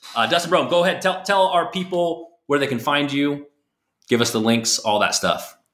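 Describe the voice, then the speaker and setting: This man has a normal speaking voice pitched fairly high for a man. He talks at a moderate pace with lively intonation. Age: 30s. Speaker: podcast host and real estate sales coach. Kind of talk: casual interview chat.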